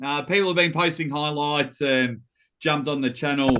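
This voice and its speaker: A man in an Australian accent at a moderate pace with ordinary pitch variation. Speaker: armwrestling guest. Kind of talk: casual chat.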